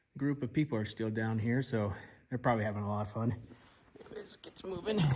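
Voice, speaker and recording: Here is a man with a normal speaking voice and a medium pitch. He talks at a fairly quick pace with ordinary pitch variation. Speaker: outdoor adventure vlogger. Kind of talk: casual vlog narration. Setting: outdoors in the desert at night.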